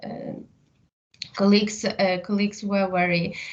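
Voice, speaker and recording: The speaker is a woman. She talks with a Ukrainian accent. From Ukraine, Lviv. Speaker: psychotherapist and university teacher. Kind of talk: interview. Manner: halting, many fillers.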